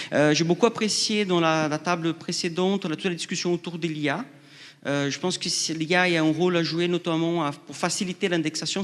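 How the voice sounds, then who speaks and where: Against a quiet background, a man with a non-native accent and high pitch speaks at a moderate pace with fairly even intonation. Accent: foreign. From outside France. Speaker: researcher. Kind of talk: panel discussion. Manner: halting.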